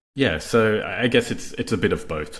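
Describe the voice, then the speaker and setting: A man with an Australian accent at a moderate pace. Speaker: company executive. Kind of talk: podcast interview. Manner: hesitant, many fillers.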